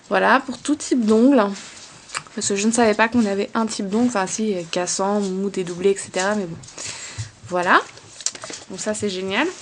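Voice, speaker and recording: Noticeable background noise sits behind a woman speaking at a medium pitch and a moderate pace. She uses ordinary pitch variation and leaves long, frequent pauses. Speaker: beauty vlogger. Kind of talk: casual product haul vlog. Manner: hesitant with many fillers.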